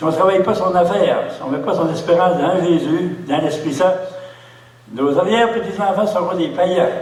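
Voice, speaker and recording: A man's high pitch with ordinary pitch variation at a moderate pace, amid audible room echo and noticeable background noise. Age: 80s+. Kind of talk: sermon. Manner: halting.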